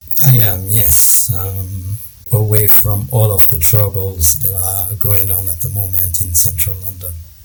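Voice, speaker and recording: With music playing and audible room echo, a man speaks in a very deep, low voice with fairly even intonation. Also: fairly slow pace. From Ivory Coast. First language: French. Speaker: risk management consultant. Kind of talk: interview.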